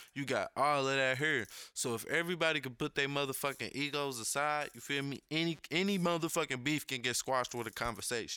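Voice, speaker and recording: Talking at a fairly quick pace with hardly any pauses, a man has a fairly high pitch, a bright, sharp tone and ordinary pitch variation, captured in a very clean recording with a silent background. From Kentucky (Paducah). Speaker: podcast co-host. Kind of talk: casual chat.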